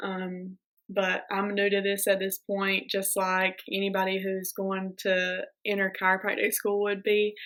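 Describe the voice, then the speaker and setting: A woman speaks at medium pitch and a fairly slow pace, her intonation monotone and flat. The recording is very clean, with a silent background. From US South, South Georgia. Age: 20s. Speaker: chiropractic student vlogger. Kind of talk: casual vlog talk. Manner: casual, with many filler ums.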